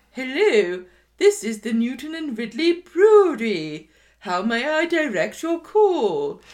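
A put-on character voice, high-pitched, moves at a fairly slow pace with very wide pitch swings. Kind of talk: posh, affected. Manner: fake, put-on phone voice.

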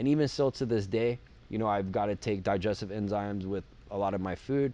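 At a fairly quick pace comes a plain, everyday voice. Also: man. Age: 40s. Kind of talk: casual chat.

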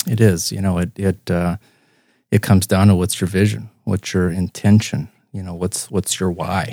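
An American-accented man talks at a moderate pace with fairly even intonation. His very deep, low pitch sounds dry and close, with no echo. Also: very clean recording, silent background. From Iowa, US Midwest. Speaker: chiropractor. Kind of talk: casual chat.

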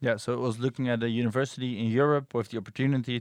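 Against a quiet background, a man with a Dutch accent talks very fast at a medium pitch, his intonation fairly even. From Netherlands. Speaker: podcast host, PhD researcher. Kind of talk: casual chat.

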